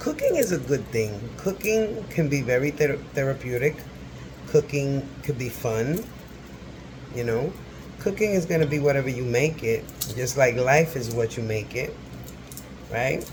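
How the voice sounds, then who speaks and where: Whispering at a fairly slow pace, a man leaves long, frequent pauses amid noticeable background noise. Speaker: cooking vlogger. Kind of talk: casual cooking tutorial. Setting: home kitchen. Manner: whispering a little; chatty.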